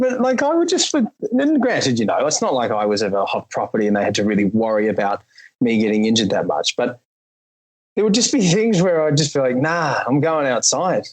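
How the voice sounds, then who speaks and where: In an Australian accent, the speaker goes at a fairly quick pace with very wide pitch swings and very even loudness. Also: man, fairly high pitch for a man. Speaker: podcast host and actor. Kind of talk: casual chat.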